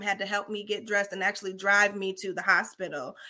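In an American accent, a woman talks at a fairly quick pace. Her tone is bright and sharp, at a medium pitch. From Chicago. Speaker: capacity coach. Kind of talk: casual chat.

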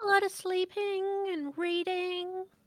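Using a put-on character voice, a woman speaks in an extremely high, squeaky pitch, monotone and flat, at a fairly slow pace. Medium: actual play. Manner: dry, understated.

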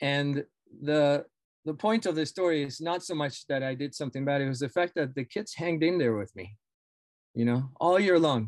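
With a Spanish accent, a man talks at a moderate pace using lively intonation. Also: fairly high pitch for a man, dry, close sound with no echo. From Argentina. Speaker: professor of education. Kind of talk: casual interview.

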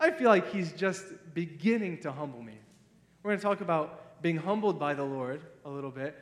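With an American accent, the speaker talks at a fairly quick pace with lively intonation. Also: man, high pitch for a man. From Ohio. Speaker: missionary pastor. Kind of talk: sermon. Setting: church.

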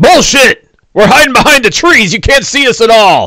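A man puts on a character voice with an extremely high pitch. His pace is moderate. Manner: indignant, protesting.

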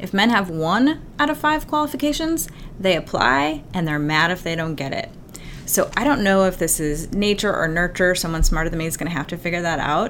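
Fairly quick speech with very wide pitch swings, noticeable noise behind it. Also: woman, fairly low pitch for a woman. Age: 40s. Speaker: executive coach and company founder. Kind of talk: interview.

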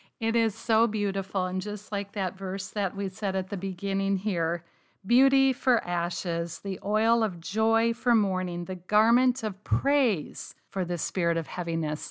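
In a very clean recording with a silent background, a woman with a normal speaking voice talks at a medium pitch and a fairly slow pace, with ordinary pitch variation and hardly any pauses. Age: 50s. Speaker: pastor's wife. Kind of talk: interview.

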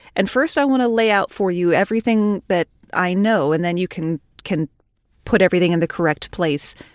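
A woman with an American accent speaks in a normal speaking voice at medium pitch, with ordinary pitch variation and a fairly quick pace. The sound is dry and close with no echo, and the recording is very clean over a silent background. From United States. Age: 40s. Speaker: retail cashier and podcaster. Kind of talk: casual chat.

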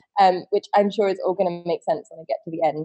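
A woman with a southern English accent talks at a very fast pace. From West Country, England (Wiltshire). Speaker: fashion rental company co-founder. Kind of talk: interview.

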